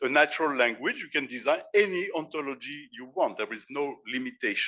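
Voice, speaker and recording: A man with a French accent at a moderate pace against a quiet background. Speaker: professor and philosopher. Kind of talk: conference keynote lecture. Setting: conference stage with audience. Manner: halting, with repeated words and self-corrections.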